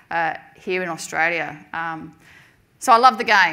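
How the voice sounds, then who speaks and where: Her tone is bright and sharp, with ordinary pitch variation, as a woman speaks over audible room echo. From London, England. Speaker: football administrator. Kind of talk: conference address. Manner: hesitant, many fillers.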